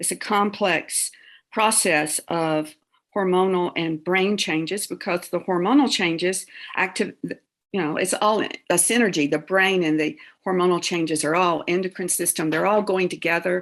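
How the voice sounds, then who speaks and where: A woman speaks at a moderate pace in a medium pitch, with ordinary pitch variation, against a quiet background. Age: 60s. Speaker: theologian and author. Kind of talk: interview. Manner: halting.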